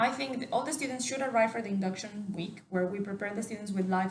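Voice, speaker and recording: A woman talks at a very fast pace in a Mexican accent, with ordinary pitch variation. The room echo is audible and the background noise noticeable. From Mexico. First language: Spanish. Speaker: university staff member. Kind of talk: interview.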